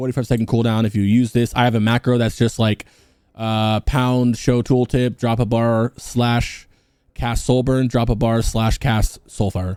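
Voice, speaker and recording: A man mumbles at a medium pitch with monotone, flat intonation and very even loudness. The recording is very clean with a silent background and a dry, close sound with no echo. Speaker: gaming guide youtuber. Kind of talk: unscripted gameplay tutorial. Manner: fast; mumbling.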